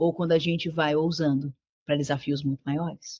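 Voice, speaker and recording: A somewhat breathy woman's voice at a moderate pace. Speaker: preacher. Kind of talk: sermon. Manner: animated.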